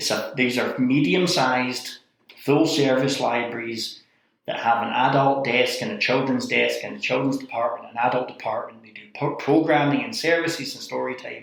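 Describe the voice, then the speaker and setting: A man with a Scottish accent and a medium pitch speaks with big swings in loudness. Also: ordinary pitch variation, moderate pace. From Scotland. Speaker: library director turned city manager. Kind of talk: interview conversation.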